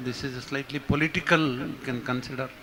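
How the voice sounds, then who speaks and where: A man speaks over noticeable background noise. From India, Bangalore. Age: 60s. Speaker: audience member. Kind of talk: audience question.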